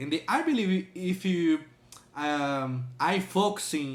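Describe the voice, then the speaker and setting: Talking at a very slow pace, a man with a strong non-native accent shows ordinary pitch variation. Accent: strong foreign accent in English. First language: not English. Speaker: language learner and reaction video host. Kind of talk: reaction video commentary. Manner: halting, many fillers.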